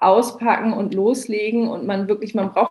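Hers is a plain, everyday voice at a medium pitch. The woman keeps her intonation fairly even. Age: 30s. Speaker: founder of a cupcake business. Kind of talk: casual interview.

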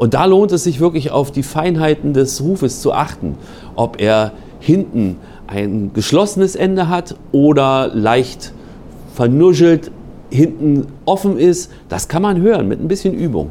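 A man's unremarkable speaking voice, fairly high in pitch, at a fairly slow pace with lively intonation. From Berlin, Germany. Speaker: national park ranger and bird expert. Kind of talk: interview.

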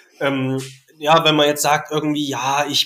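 Here a man is speaking. His pitch sits fairly high. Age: 30s. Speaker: teacher. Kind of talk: casual chat. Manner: hesitant, many filler sounds.

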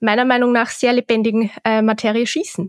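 In a plain, everyday voice, a woman speaks at a moderate pace with a fairly high pitch, in a dry, close sound with no echo on a very clean recording with a silent background. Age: 20s. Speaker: shooting instructor. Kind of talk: interview.

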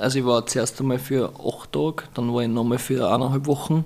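A man with an Austrian accent at medium pitch and a fairly quick pace. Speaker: Muay Thai fighter. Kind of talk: casual chat.

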